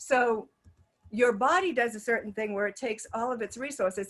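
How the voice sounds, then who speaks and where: At a fairly quick pace, the speaking shows ordinary pitch variation. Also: woman. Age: 50s. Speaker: wellness coach. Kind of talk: webinar presentation; guided relaxation exercise. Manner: fast.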